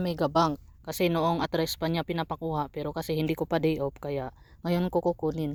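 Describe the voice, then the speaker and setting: A woman with fairly low pitch and an unremarkable speaking voice at a fairly quick pace, dry and close with no echo, in a very clean recording with a silent background. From Philippines. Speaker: vlogger, migrant factory worker. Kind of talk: casual vlog narration. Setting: outdoors. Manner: soft-spoken.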